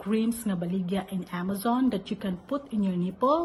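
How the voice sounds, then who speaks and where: A woman with a Filipino accent, lively intonation and a moderate pace. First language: Cebuano. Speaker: mother sharing parenting tips. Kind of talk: casual advice talk. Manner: code-switching English and Cebuano.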